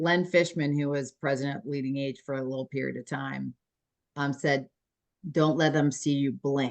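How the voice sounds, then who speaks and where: A woman with a Philadelphia accent speaks at a fairly quick pace in a very deep, low voice. Her intonation is fairly even, and the sound is dry and close with no echo. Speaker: aging services executive. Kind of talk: casual chat.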